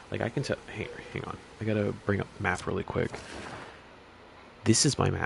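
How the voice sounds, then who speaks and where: The speech moves at a fairly quick pace with long, frequent pauses, and background noise is noticeable. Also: man. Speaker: gaming YouTuber. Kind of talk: casual game review rant. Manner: monotone; halting, many restarts.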